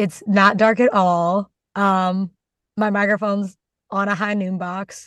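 At a fairly slow pace, a woman speaks in a medium pitch. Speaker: podcast co-host. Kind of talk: casual chat. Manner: animated, chatty.

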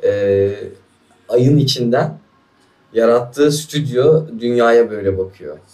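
Using long, frequent pauses, a man at a medium pitch speaks very slowly in a dark, mellow tone. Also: ordinary pitch variation. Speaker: podcast host. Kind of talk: casual chat.

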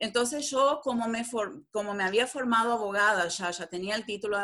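A woman's fairly high voice, with ordinary pitch variation and a moderate pace. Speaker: translator and lawyer. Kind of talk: interview.

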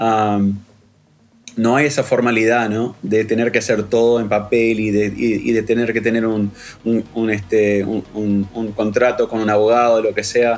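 A man at a medium pitch, monotone and flat in intonation, at a fairly slow pace. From Uruguay. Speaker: electronic musician. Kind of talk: interview.

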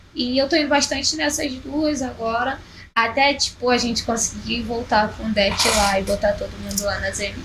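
Ordinary pitch variation and a moderate pace mark this speech, with noticeable background noise underneath. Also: woman, high pitch for a woman. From Rio de Janeiro, Zona Norte (Penha, Vila Cruzeiro). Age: 20s. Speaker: rapper. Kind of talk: casual interview chat.

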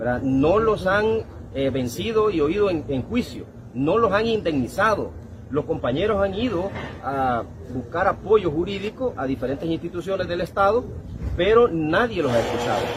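At a moderate pace, the speaker's pitch swings very widely over noticeable background noise. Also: man, high pitch for a man. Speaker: union or labor movement leader. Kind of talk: interview.

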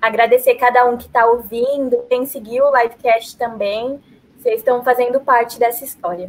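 This woman's voice sits high in pitch. Her intonation stays fairly even. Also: moderate pace. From São Paulo, Brazil. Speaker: journalism student, podcast co-host. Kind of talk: casual chat. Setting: live stream.

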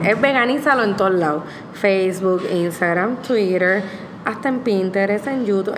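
A woman's lively intonation amid audible room echo and noticeable background noise. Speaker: vegan food blogger. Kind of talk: casual interview chat. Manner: code-switching Spanish and English.

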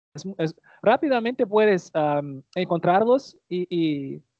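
This man speaks with a Portuguese accent at a high pitch. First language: Portuguese (speaking Spanish). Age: 20s. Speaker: language learner and content creator. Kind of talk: casual chat. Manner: halting.

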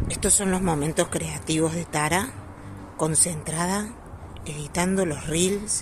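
A woman speaks at a fairly slow pace with long, frequent pauses and a fairly low pitch, amid noticeable background noise and audible room echo. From Argentina. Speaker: podcast co-host, dog groomer. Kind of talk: casual chat. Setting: trade show event. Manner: animated.

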